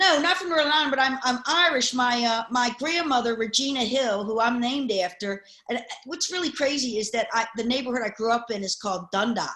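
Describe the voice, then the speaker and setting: Speaking at a fairly quick pace, a woman uses a high pitch and lively intonation. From US, Baltimore. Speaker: panelist. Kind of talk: casual panel chat.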